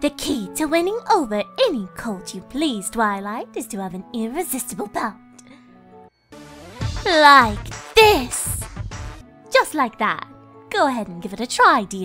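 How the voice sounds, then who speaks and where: In a put-on character voice that sounds female, the speaker uses a fairly high pitch and long, frequent pauses, with faint music in the background. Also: fairly slow pace. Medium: dub.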